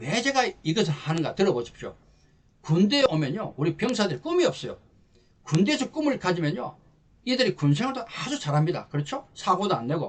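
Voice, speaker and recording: An animated tone and very wide pitch swings over noticeable background noise. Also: man, high pitch for a man. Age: 60s. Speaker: lecturer for army officers. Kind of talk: promotional lecture.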